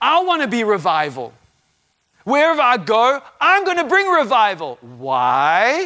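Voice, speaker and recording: A man's raised, projected voice at an extremely high pitch, bright and sharp in tone, with very wide pitch swings, very even loudness and a fairly slow pace. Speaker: visiting preacher. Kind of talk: sermon. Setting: church with live congregation. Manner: animated.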